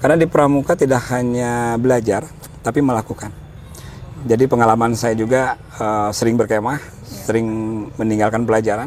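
Over noticeable background noise, a man at a medium pitch talks at a fairly quick pace with fairly even intonation. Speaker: scout leader and local government official. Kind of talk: interview.

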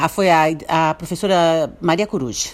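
An unremarkable speaking voice carries ordinary pitch variation. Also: woman. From Brazil, Santo Antônio da Patrulha, Rio Grande do Sul. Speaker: businesswoman and writer. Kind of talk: radio interview.

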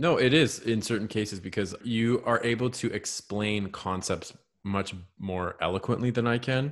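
Speaking at a moderate pace and medium pitch, a man sounds enthusiastic and animated. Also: ordinary pitch variation. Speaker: podcast co-host, creative in branding and graphic design. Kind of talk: casual chat. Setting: remote audio recording. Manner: enthusiastic, animated.

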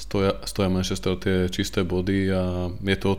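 A man's very deep, low voice carries a monotone, flat intonation. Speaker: football fan podcast host. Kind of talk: casual chat.

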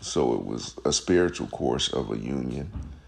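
A man with vocal fry speaks with lively intonation. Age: 50s. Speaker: podcast host. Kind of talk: solo monologue.

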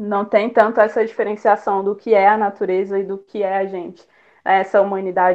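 The woman talks at a moderate speed. Her delivery stays monotone and flat in intonation. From Brasília, Brazil. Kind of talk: online panel talk. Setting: online live stream.

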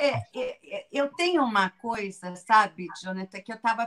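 A normal speaking voice from a woman, fairly high in pitch and fairly slow in pace. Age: 50s. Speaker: educator and author. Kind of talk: casual interview.

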